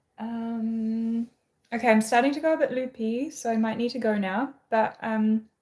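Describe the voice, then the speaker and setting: Fairly high-pitched and fairly even in intonation, a woman speaks with a New Zealand accent. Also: moderate pace. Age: 20s. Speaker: livestreamer. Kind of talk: casual chat. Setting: live stream at home.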